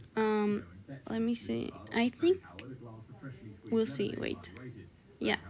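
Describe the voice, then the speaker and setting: Over noticeable background noise, a woman with a non-native accent speaks at a very slow pace with long, frequent pauses. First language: not English. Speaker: video editing tutorial creator. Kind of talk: tutorial. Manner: casual, hesitant with many fillers.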